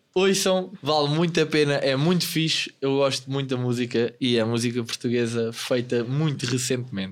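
With a normal speaking voice, the man talks at a moderate pace, his fairly high pitch carried by lively intonation. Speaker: podcast co-host. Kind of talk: casual chat.

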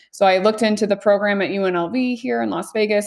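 A woman speaks at a fairly quick pace with a medium pitch. She has an ordinary speaking voice and ordinary pitch variation. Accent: American. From Missouri, US Midwest. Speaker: dietitian. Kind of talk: interview.

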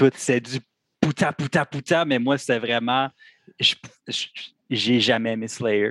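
A man speaks very slowly at a medium pitch, with long, frequent pauses and fairly even intonation. The sound is dry and close with no echo, over a quiet background. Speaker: metal band musician. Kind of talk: casual chat.

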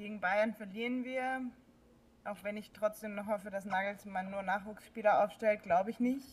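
Loudness swings widely as a woman talks at a moderate pace. Her intonation is fairly even, in an unremarkable speaking voice. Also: medium pitch for a woman. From Baden-Württemberg, near Stuttgart. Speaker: football fan. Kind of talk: casual chat.

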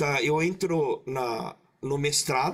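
A man's voice swings very widely in pitch. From Brazil, Maringá (Paraná), Japanese-Brazilian community. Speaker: creative director. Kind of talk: casual chat. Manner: halting; loud.

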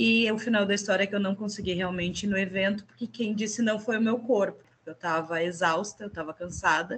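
Somewhat breathy and medium-pitched, a woman talks at a fairly quick pace with hardly any pauses. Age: 40s. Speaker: entrepreneur. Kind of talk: casual chat.

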